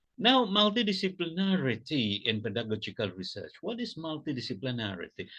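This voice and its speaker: With an Indonesian accent, a man speaks at a fairly quick pace with hardly any pauses, his bright, sharp voice showing vocal fry and very wide pitch swings. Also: quiet background. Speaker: academic keynote speaker. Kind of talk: pre-recorded keynote lecture. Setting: pre-recorded presentation video. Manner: halting, many fillers.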